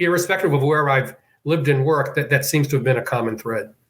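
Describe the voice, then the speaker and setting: Talking very fast, a man uses an American accent and a fairly high, somewhat breathy voice. His pitch varies in an ordinary way. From Boston, US. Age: 70s. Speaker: senior living executive. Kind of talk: interview.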